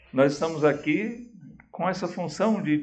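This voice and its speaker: The voice carries vocal fry at a fairly slow pace. Audible room echo surrounds it. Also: man. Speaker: pastor. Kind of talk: sermon. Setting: church. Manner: slow, with pauses; calm.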